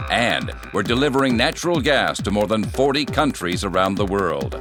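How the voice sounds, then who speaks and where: Over background music, a man talks at a medium pitch and a moderate pace. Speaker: voice actor. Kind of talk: corporate energy company commercial read.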